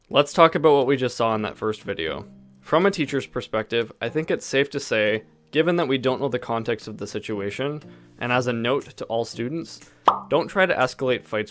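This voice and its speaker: A man talks at a fairly quick pace while faint music sits in the background. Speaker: teacher, video reactor. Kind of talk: reaction video commentary. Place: home room. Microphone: studio mic.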